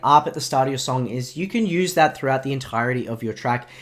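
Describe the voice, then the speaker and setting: Speaking very fast, the voice carries an Australian accent. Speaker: music producer teaching production. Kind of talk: tutorial.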